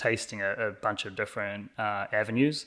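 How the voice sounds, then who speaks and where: On a very clean recording with a silent background, a man with an American accent uses a fairly low pitch, a bright, sharp tone and ordinary pitch variation. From New Zealand. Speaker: cinematographer. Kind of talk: podcast interview. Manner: casual, many filler words.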